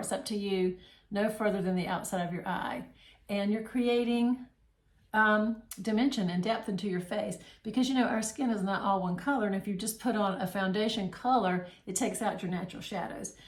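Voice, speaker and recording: A woman, somewhat breathy, with fairly even intonation at a fairly quick pace. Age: 60s. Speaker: makeup seller and tutorial host. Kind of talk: tutorial. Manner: casual, conversational with fillers.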